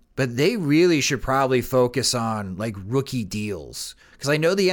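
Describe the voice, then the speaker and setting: The background is silent and the recording very clean. An unremarkable speaking voice talks at a moderate speed, its intonation lively. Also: man. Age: 30s. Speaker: sports podcast host. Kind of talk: casual chat.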